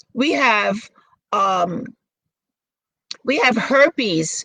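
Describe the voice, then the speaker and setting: A woman with an American accent in a raised, projected voice, very slow in pace and with very wide pitch swings. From Brooklyn, New York. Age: 60s. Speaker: model and actress. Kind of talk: interview.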